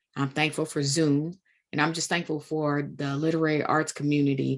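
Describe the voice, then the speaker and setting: In a Kentucky accent, a woman with a very deep, low voice speaks at a moderate pace with monotone, flat intonation against a quiet background. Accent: country Kentucky. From Kentucky, Woodford County. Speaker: literary event host. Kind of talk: event introduction. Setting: video call.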